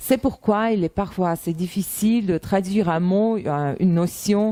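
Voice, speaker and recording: A woman in a Russian accent, medium in pitch with a dark, mellow tone, speaking very slowly with ordinary pitch variation. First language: Russian (speaking French). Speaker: translator and interpreter. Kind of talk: self-presentation monologue. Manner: hesitant, many fillers.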